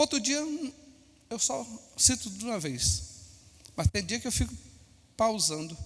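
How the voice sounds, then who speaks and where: Pausing long and often, a man speaks at a fairly slow pace. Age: 60s. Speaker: pastor. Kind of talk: sermon.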